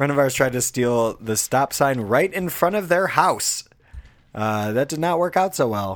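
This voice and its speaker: A man at a fairly high pitch with lively intonation and a moderate pace. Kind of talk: casual chat. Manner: chill, joking.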